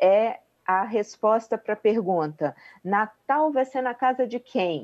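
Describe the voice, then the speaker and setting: A woman's fairly high voice with lively intonation and big swings in loudness, at a fairly slow pace against a quiet background. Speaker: family therapist. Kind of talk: radio interview. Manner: halting; calm.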